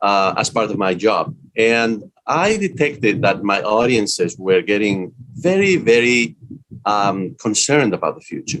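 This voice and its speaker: A man with a Spanish accent talks at a fairly slow pace in a medium pitch, with lively intonation. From Spain. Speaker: business school dean and author. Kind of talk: interview. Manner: frequent hesitations (uh).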